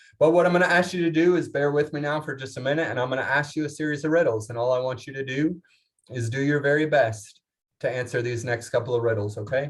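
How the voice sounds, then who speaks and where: Energetic and somewhat breathy, a man speaks at a very fast pace with ordinary pitch variation. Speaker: leadership seminar speaker. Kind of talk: conference keynote talk. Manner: fast, energetic.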